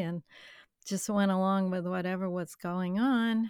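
A woman's normal speaking voice at a fairly slow pace, fairly even in intonation, in a dry, close sound with no echo and a very clean recording over a silent background. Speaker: guest, mother. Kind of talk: casual chat.

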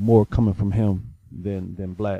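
A man's ordinary speaking voice, fairly low in pitch with fairly even intonation, in a dry, close sound with no echo. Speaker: co-host sports panelist. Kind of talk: casual sports chat.

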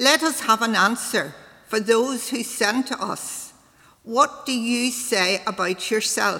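A woman with a bright, sharp tone speaks very slowly at a fairly high pitch with ordinary pitch variation. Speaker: scripture reader. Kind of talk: reading scripture aloud.

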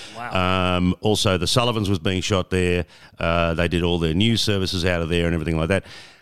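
An Australian accent at a fairly quick pace, in a very clean recording over a silent background. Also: man. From Melbourne, Australia. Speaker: veteran radio presenter. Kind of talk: interview conversation, storytelling.

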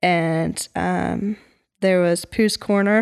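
A woman speaks with an American accent. Her pitch is fairly low for a woman. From US Pacific Northwest. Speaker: podcast guest with an Australian parent. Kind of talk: casual interview. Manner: hesitant, frequent fillers.

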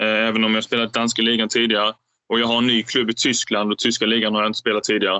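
A man's medium-pitched voice at a very fast pace, monotone and flat, with very even loudness. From southern Sweden, Skåne (Ängelholm). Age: 20s. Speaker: professional badminton player. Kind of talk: interview.

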